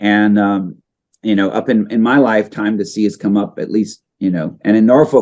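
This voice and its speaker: With an American accent, a man talks at a fairly quick pace. His pitch sits fairly low. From US, Kentucky/North Carolina/Virginia, with childhood in Saipan. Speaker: coral reef scientist. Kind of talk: interview. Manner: hesitant, many fillers and repetitions.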